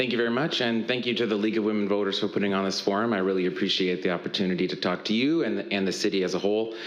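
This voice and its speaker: Over noticeable background noise and audible room echo, a man with an American accent talks very fast with hardly any pauses, at a fairly low pitch with ordinary pitch variation. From Tacoma, Washington, US Pacific Northwest. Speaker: political candidate, military veteran. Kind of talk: candidate forum opening statement.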